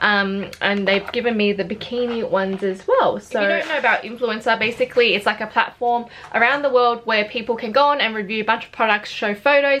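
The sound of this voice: A fairly quick woman in an Australian accent, fairly high in pitch, bright and sharp in tone, with ordinary pitch variation.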